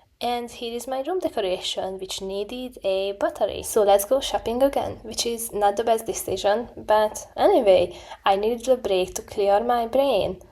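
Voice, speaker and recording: A woman's fairly high voice in an Eastern European accent, at a moderate pace with hardly any pauses, ordinary pitch variation and noticeable background noise. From Hungary. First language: Hungarian. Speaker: student vlogger. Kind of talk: vlog narration. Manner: casual, self-deprecating.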